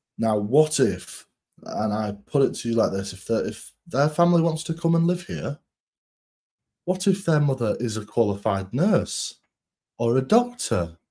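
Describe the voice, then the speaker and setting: This man's dark, mellow tone is somewhat breathy, with very wide pitch swings. He speaks at a fairly slow pace. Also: medium pitch for a man. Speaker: podcast co-host, political reporter. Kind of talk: casual political chat. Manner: animated.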